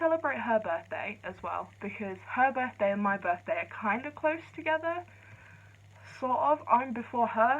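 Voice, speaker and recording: In an English accent, a woman speaks quietly. Her pitch swings very widely. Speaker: vlogger. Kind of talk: casual vlog chat. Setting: filming at home late at night. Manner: speaking quietly. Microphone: poor phone camera audio.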